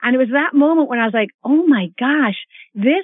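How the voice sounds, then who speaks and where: A woman talks at a moderate pace in an ordinary speaking voice, her intonation lively. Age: 50s. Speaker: fitness expert and author. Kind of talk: interview.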